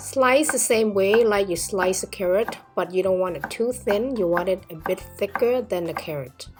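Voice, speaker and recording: Music plays in the background as a woman speaks. Her intonation is lively and her pace moderate. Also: medium pitch for a woman, hardly any pauses. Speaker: cooking channel host. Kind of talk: tutorial.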